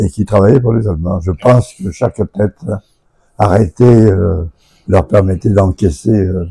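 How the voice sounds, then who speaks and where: The man's voice is fairly low, somewhat breathy and dark and mellow in tone, with ordinary pitch variation. He talks at a fairly slow pace with long, frequent pauses, in a dry, close sound with no echo. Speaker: local elder, son of a Resistance member. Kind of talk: radio interview. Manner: halting.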